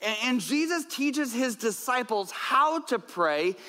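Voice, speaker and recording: A man with an extremely high pitch and a bright, sharp tone talks in a raised, projected voice at a moderate pace. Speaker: pastor. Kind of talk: sermon. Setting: church.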